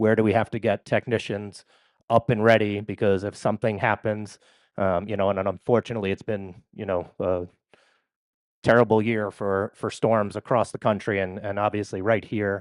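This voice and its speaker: In a New York accent, a man with a fairly low pitch talks at a moderate pace in a flat monotone, the sound dry and close with no echo against a quiet background. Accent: New York area. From New York area. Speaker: company representative. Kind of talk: conference presentation.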